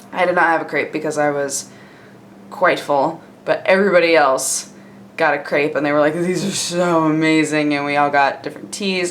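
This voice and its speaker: Over noticeable background noise, a woman with a very deep, low voice speaks at a moderate pace in an upbeat tone. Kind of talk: casual vlog talk to camera. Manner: casual, chatty, upbeat.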